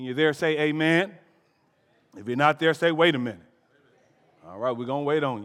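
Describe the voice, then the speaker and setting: A man with a fairly high voice talks at a fairly quick pace in an animated, playful tone, with ordinary pitch variation, big swings in loudness and long, frequent pauses. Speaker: pastor. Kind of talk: call-and-response sermon, preacher in full flow building to climactic repetition. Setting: church pulpit with live congregation. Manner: animated, playful crowd-working with jokes and prompts for amens; rising, rhythmic repetition in full flow.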